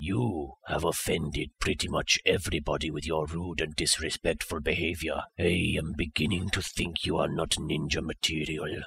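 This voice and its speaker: A raspy man talks at a moderate pace with hardly any pauses. His very deep, low voice sounds dry and close, with no echo. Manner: deadpan, sarcastic, weary.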